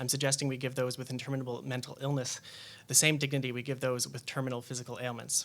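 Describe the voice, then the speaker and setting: The speaker is a man with a medium pitch. He goes at a very fast pace with monotone, flat intonation. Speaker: journalist and panelist. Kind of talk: prepared speech read from phone. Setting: public panel with audience.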